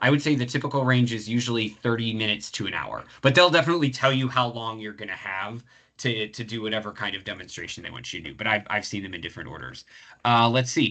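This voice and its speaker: Against a quiet background, a man speaks at a very fast pace and a medium pitch, with ordinary pitch variation. His tone is bright and sharp, with big swings in loudness. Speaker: professor running a career webinar. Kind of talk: webinar Q&A. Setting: video call webinar. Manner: halting, many fillers.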